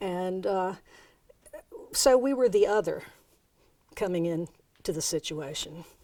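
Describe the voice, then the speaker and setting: With an American accent, a woman speaks at a fairly slow pace in a medium pitch and a dark, mellow tone, leaving long, frequent pauses. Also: lively intonation. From US East Coast, mixed North and South. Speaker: interviewee, sister of a musician. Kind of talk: interview. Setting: filmed interview.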